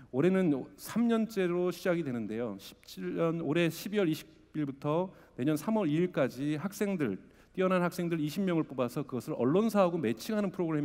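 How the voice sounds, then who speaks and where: A man's voice, dark and mellow in tone yet fairly high in pitch, carries lively intonation. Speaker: conference speaker, media startup investor. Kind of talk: conference talk. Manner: fast.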